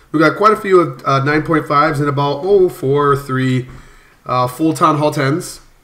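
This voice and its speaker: Fairly high male voice at a moderate pace, ordinary pitch variation, and noticeable background noise. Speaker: gaming video creator. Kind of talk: gameplay commentary. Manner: hesitant, many fillers.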